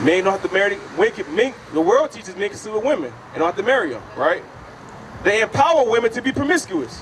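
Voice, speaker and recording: A man talks loudly at a very fast pace in a high voice with very wide pitch swings. Noticeable background noise is present. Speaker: street preacher. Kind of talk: street preaching debate.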